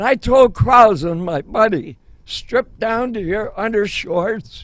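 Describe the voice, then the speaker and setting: Here a man speaks at a high pitch and a very slow pace. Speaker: war veteran. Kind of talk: testimony.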